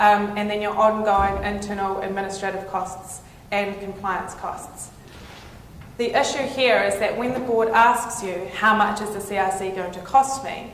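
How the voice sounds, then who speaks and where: A woman with a New Zealand accent talks at a moderate pace and medium pitch, her intonation fairly even. Her loudness swings widely, and there is noticeable background noise. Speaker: lawyer. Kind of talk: conference presentation.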